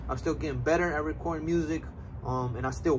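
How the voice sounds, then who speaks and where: Noticeable background noise accompanies a man who speaks very fast. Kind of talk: casual vlog chat. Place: street. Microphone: camera far.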